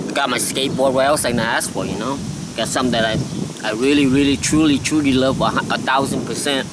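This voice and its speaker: A man with a Lao accent speaks very fast in a medium pitch with fairly even intonation. Noticeable background noise and audible room echo fill the recording. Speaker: skateboarding vlogger. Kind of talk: casual vlog monologue. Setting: outdoors. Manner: halting.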